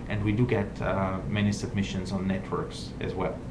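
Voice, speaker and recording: Someone with a non-native accent speaks at a moderate pace, with audible room echo and noticeable background noise. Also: man. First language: not English. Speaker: journal editor-in-chief. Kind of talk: live online Q&A talk. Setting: live video stream. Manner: hesitant, many filler words.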